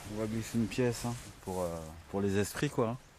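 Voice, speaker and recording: A man's voice with fairly even intonation. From French Guiana. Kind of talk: documentary interview.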